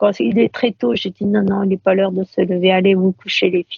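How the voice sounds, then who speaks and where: This woman talks at a fairly quick pace in a medium-pitched, somewhat breathy voice. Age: 50s. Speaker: blind guide dog owner. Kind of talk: interview conversation. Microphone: poor sound quality.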